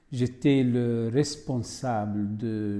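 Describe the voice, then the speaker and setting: This man has a dark, mellow tone at a medium pitch. His pitch varies in an ordinary way. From Syria. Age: 50s. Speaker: migrant, former French teacher. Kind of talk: testimony.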